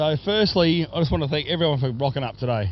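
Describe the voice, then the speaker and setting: In an Australian accent, a man speaks at a moderate pace. His fairly high voice has lively intonation. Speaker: race sponsor and commentator. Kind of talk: speech at prize giving. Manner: loud; repetitive, stumbling.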